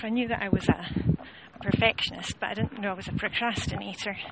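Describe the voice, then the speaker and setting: Through noticeable background noise, a woman talks at a very fast pace with a Scottish accent. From Scotland. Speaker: home organising coach. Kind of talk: casual vlog monologue. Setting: outdoors, walking along a road.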